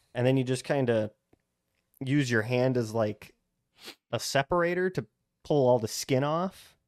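On a very clean recording with a silent background, a man of medium pitch speaks at a moderate pace with ordinary pitch variation and long, frequent pauses, the sound dry and close with no echo. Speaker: podcast co-host. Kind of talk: casual chat.

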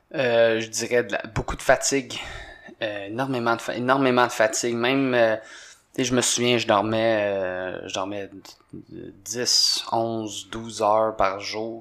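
A man with a medium pitch and fairly even intonation talks at a very slow pace. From Quebec. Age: 20s. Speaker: CrossFit coach and former hockey player. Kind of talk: casual chat.

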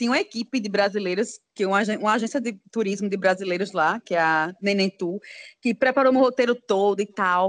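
The woman has a normal speaking voice, fairly high in pitch and fairly quick in pace. The sound is dry and close, with no echo. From Aracaju, Sergipe, northeast Brazil. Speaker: psychologist and travel blogger. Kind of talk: casual interview.

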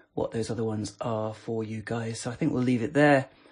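Over a quiet background, a man with a plain, everyday voice speaks at a medium pitch with fairly even intonation. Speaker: podcast host reviewing voice assistant skills. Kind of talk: casual chat, informal review. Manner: chatty, playful, relaxed.

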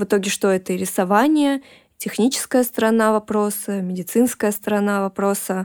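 Here is a woman with an unremarkable speaking voice at a medium pitch, fairly even intonation, very even loudness and a moderate pace. The recording is very clean with a silent background, and the sound is dry and close with no echo. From Russia. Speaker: tattoo artist and illustrator. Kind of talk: interview conversation.

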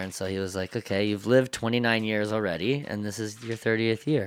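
A man talks at a fairly quick pace in a medium pitch with fairly even intonation. He has an ordinary speaking voice. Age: 20s. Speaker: tattoo artist. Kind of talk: casual chat.

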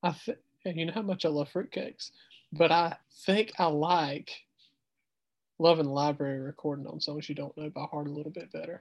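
A man with a strong Southern US accent talks at a fairly quick pace in a fairly even intonation, leaving long, frequent pauses. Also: fairly high pitch for a man. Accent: thick Southern US. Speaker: teacher and podcast host. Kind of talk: casual chat.

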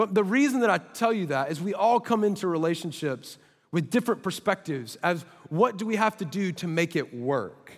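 Heard in a very clean recording with a silent background, a man talks at a fairly quick pace and high pitch with lively intonation. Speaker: pastor. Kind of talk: sermon. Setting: stage with audience.

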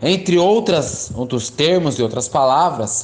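Male speaker amid audible room echo. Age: 20s. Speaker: geography teacher. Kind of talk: lecture.

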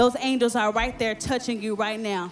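Music plays in the background as the speaker talks with fairly even intonation. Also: woman. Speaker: preacher delivering prophetic words. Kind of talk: charismatic prophetic ministry, sermon.

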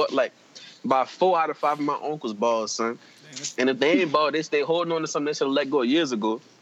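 A man talks at a very fast pace in a New Orleans accent, his fairly high pitch showing ordinary variation. Noticeable background noise is present. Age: 20s. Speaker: podcast guest. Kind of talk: casual chat.

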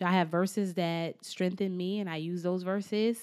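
An animated woman at medium pitch and a moderate pace, against a quiet background. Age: young. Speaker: car sales professional and podcaster. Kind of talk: casual chat.

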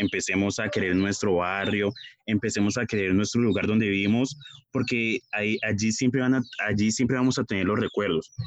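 A man talks at a very fast pace with fairly even intonation over a quiet background. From Colombia, Puerto Tejada, Cauca. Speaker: communications student. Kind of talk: scripted narration.

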